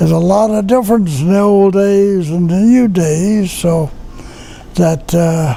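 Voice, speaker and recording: Noticeable background noise and audible room echo fill this clip. A man with an American accent and a high pitch talks at a very slow pace. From Tennessee. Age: 90s. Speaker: war veteran. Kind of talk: casual chat.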